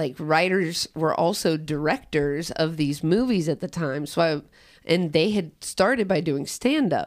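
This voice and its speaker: On a very clean recording with a silent background, a woman with an American accent talks at a moderate pace in a fairly low pitch with ordinary pitch variation, a plain, everyday voice. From Cincinnati, Ohio (Price Hill). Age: 30s. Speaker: comedian and rapper. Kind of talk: casual chat.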